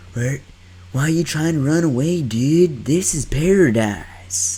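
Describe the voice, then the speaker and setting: Putting on a character voice in a Southern US accent, a man drawls at a fairly slow pace, his fairly high pitch swinging very widely. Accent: Southern surfer drawl. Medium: solo performance. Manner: laid-back, drawling.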